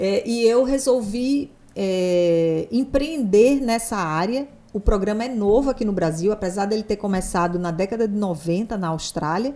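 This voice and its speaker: With a Natal accent, a woman speaks at a fairly slow pace and medium pitch. Her intonation is lively, and her tone is dark and mellow. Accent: Northeastern Brazilian (Natal). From Brazil, Natal, Rio Grande do Norte (Northeast). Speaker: psychologist. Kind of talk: podcast interview.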